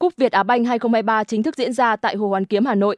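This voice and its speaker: Speaking at a very fast pace, a woman has a fairly high pitch and fairly even intonation. The recording is dry and close with no echo and a quiet background. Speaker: news reader. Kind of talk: news reading.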